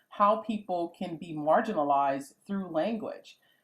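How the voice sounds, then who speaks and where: Here a woman speaks with an American accent. Her pace is moderate and her pitch variation ordinary. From US South, coastal South Carolina (Gullah Geechee). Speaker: professor. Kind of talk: video interview. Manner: animated.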